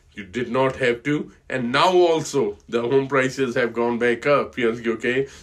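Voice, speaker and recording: A man with an Indian accent speaks at medium pitch and a moderate pace. His intonation is fairly even, with hardly any pauses. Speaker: financial advisor. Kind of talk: casual talk to camera. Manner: halting, many fillers.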